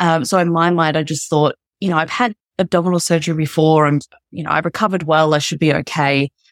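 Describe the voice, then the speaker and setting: A woman with an Australian accent talks at a very fast pace with a very deep, low pitch and fairly even intonation, in a very clean, dry, close recording with no echo and a silent background. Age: 30s. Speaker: podcast guest, mother sharing birth story. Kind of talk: casual interview chat.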